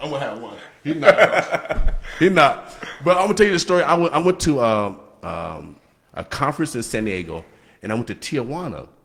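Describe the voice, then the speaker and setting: A man talks at a fairly quick pace, his pitch swinging very widely. Vocal fry runs through his voice. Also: fairly high pitch for a man. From Nebraska. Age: 60s. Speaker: radio host. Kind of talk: casual chat. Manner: halting; animated.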